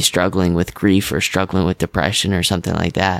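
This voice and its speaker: Recorded very cleanly against a silent background, a man speaks in a very deep, low voice with a dry, close sound and no echo. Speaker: podcast host. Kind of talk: casual interview with scripted intro.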